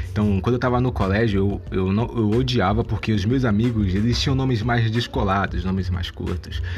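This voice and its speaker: A man with a Bahian accent and a fairly low pitch speaks at a moderate pace with hardly any pauses, very even loudness and ordinary pitch variation, while music plays in the background and the room echo is audible. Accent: Bahian Brazilian Portuguese. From Salvador, Bahia, Brazil. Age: 20s. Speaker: podcaster. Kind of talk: casual monologue. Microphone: amateur recording, low quality.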